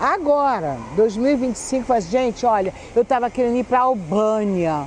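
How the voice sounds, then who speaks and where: Noticeable background noise sits behind the voice. Its pitch swings very widely. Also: woman. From Rio de Janeiro, Brazil. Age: 60s. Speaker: YouTuber telling life stories. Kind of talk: personal storytelling to camera. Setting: outdoors in a public square.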